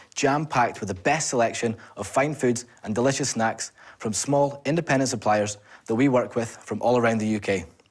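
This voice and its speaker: In a Scottish accent, a man talks at a fairly quick pace. His pitch is medium, with ordinary variation. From Scotland, Edinburgh. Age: 20s. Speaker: entrepreneur. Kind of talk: sales pitch; answering questions from investors.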